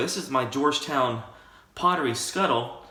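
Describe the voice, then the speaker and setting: Moderate pace and lively intonation from a man with fairly high pitch, in audible room echo. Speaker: wet shaving YouTuber. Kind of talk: casual tutorial monologue. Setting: home shaving room. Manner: soft-spoken.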